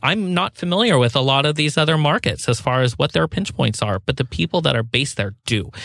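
A man with vocal fry talks at medium pitch and a fairly quick pace, with very wide pitch swings and hardly any pauses. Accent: American. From US Pacific Northwest. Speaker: sustainability consultant, co-founder of a firm. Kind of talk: interview.

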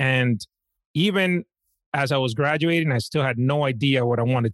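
The voice shows ordinary pitch variation over a quiet background, with a dry, close sound and no echo. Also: man. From Dominican Republic, then Washington Heights, New York. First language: Spanish. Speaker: financial planner. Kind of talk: casual chat.

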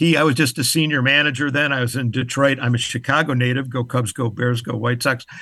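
The speaker is a man with medium pitch and ordinary pitch variation. His tone is bright and sharp over a quiet background. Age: 70s. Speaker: business performance expert and author. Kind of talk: casual interview.

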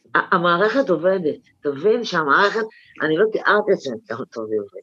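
A woman with a plain, everyday voice speaks at medium pitch. Her pace is fairly slow and her intonation lively. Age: 60s. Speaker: right-wing activist. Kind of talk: interview. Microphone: unstable line.

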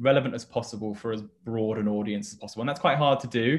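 This man speaks with a northern English accent. His medium-pitched voice keeps a fairly even intonation. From northern England. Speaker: publishing company representative. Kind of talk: casual interview.

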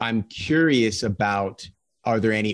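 A man speaks at a fairly low pitch with a normal speaking voice and ordinary pitch variation. The recording is very clean, with a silent background. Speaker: podcast host interviewer. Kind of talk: interview conversation.

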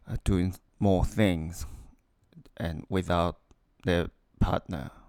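A man with a non-native accent speaks very slowly, with long, frequent pauses. His very deep, low voice has a dark, mellow tone and ordinary pitch variation. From Taiwan. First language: Mandarin Chinese. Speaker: engineer. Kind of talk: casual interview. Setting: recorded together in same room. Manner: halting.

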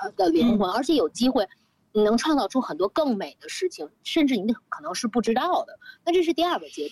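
High-pitched woman at a fairly quick pace, with very wide pitch swings and big swings in loudness, in dry, close sound without echo. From Beijing. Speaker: luxury retail manager, recurring podcast guest. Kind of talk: casual chat. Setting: outdoor terrace in Beijing hutong courtyard.

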